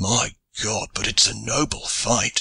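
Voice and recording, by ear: A man does a put-on character voice at a slow pace, with fairly even intonation. His bright, sharp tone carries vocal fry and a husky, rough edge. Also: fairly low pitch for a man.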